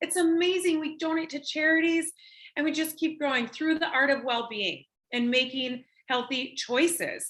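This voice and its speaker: A woman talks at a moderate pace in a high pitch with an American accent. Her tone is bright and sharp, and her voice is raised and projected. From Minnesota. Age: 40s. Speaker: network marketing presenter. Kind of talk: sales pitch. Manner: animated.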